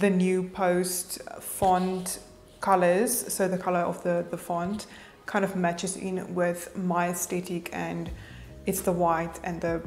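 A woman speaks in a monotone with flat intonation and a fairly low pitch. Faint music plays in the background. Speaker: social media tutorial maker. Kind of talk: tutorial. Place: home room.

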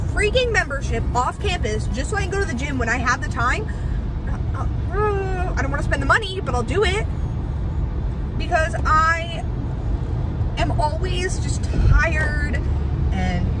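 A woman at a moderate pace, with long, frequent pauses, over loud background noise. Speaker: vlogger. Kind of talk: casual vlog chat. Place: car. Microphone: phone near.

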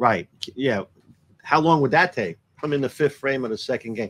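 A man's fairly bright tone at a medium pitch, with lively intonation and a fairly quick pace

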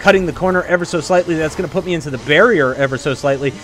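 Through noticeable background noise, a man speaks with an American accent. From Texas. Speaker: gaming youtuber. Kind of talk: live gameplay commentary.

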